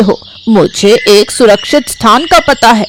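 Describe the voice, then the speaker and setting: A cartoonish character voice talks at a fairly high pitch and a fairly slow pace. Background noise is clearly heard. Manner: scheming, mock-friendly.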